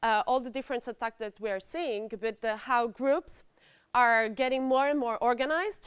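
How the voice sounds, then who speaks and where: Recorded very cleanly over a silent background with a dry, close sound and no echo, a woman speaks loudly at a high pitch, with ordinary pitch variation and a moderate pace. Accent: Italian. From Italy. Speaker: cybercrime researcher. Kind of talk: conference talk. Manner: hesitant, many fillers.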